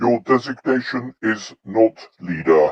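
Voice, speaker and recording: A robotic, put-on character voice at a fairly slow pace. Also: man. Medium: read story. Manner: cold, mechanical.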